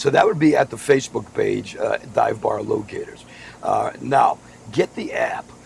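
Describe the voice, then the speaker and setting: Against noticeable background noise, a man with an American accent speaks at a fairly slow pace. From Massachusetts, Boston area. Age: 60s. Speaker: podcast host, former radio broadcaster. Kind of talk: casual chat.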